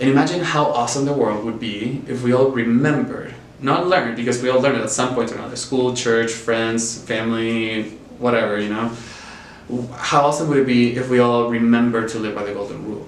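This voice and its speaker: Over noticeable background noise and audible room echo, a man with a slight Chilean accent talks at a medium pitch and a fairly quick pace with fairly even intonation. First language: Spanish. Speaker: nonprofit worker. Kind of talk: interview.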